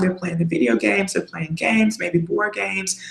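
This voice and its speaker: Noticeable background noise fills the recording. Over it, a woman talks in an animated tone. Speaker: life coach for single mothers. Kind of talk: webinar talk. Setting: video call.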